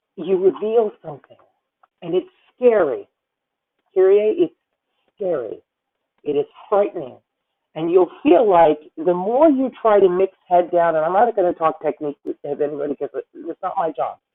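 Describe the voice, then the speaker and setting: A woman at a medium pitch speaks in an animated tone with lively intonation. She leaves long, frequent pauses. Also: moderate pace. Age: 50s. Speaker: opera singer and voice coach. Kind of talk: masterclass feedback.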